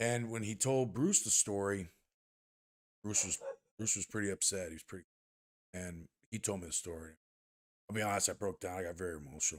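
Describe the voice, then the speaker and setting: A man with an American accent speaks at a fairly quick pace in a fairly low voice with ordinary pitch variation, leaving long, frequent pauses in a very clean recording with a silent background. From Texas, Rio Grande Valley (Brownsville). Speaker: strength coach. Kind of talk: casual chat.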